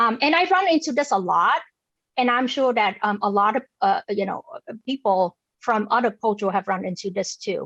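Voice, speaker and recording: A woman's fairly high voice with a Vietnamese accent, lively intonation and a moderate pace. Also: dry, close sound with no echo. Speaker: forum speaker on food justice. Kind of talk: public talk. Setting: video call. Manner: halting, many fillers and repetitions.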